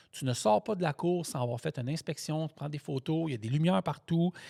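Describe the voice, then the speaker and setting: A man with a fairly high pitch speaks at a fairly quick pace in an animated, somewhat breathy voice with lively intonation, recorded very cleanly against a silent background with a dry, close sound and no echo. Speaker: truck driver and podcast host. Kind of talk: casual chat.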